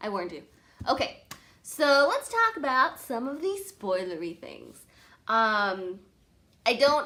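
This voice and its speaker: With an American accent, a woman speaks at a fairly slow pace in a fairly high pitch, her bright, sharp tone moving through very wide pitch swings. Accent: slight Texan accent, toned down. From Texas. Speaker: book reviewer. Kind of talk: casual chat. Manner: animated; filler-heavy.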